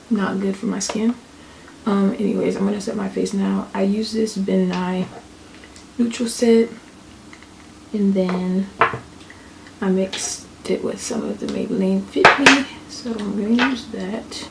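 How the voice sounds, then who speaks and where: A woman whispers quietly at a fairly slow pace with long, frequent pauses over noticeable background noise. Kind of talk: casual talk to camera. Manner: whispered.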